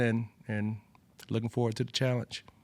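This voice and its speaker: In an Alabama accent, the voice moves at a moderate pace with flat, monotone intonation in a very clean recording over a silent background. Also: man. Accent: Southern US (Alabama). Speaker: football coach. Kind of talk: press conference Q&A. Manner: conversational with frequent fillers and repetitions.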